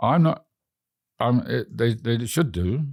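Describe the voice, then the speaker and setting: With an English accent, a man speaks at a moderate pace on a very clean recording with a silent background. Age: 80s+. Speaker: frequent flyer travel record holder. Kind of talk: interview. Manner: halting.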